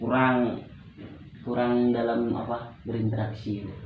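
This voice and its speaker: A man speaks at a medium pitch with a Medan accent, flat and monotone, at a fairly slow pace. Noticeable background noise and audible room echo fill the recording. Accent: Medan accent, somewhat harsh. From Medan, North Sumatra, Indonesia. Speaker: student playing counseling client. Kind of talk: role-play counseling session.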